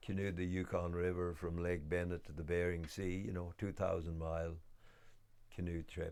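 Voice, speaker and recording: The man has a very deep, low pitch and talks at a moderate pace. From west of Ireland. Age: 60s. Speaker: homesteader and woodworker. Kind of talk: documentary interview. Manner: hesitant, many fillers.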